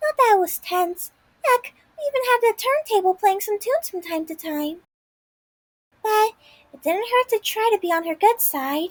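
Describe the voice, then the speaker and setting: A woman does a squeaky, put-on character voice at an extremely high pitch with lively intonation, at a moderate pace with long, frequent pauses. The sound is dry and close, with no echo. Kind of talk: hard-boiled voice-over. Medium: read story. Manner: eager, chatty.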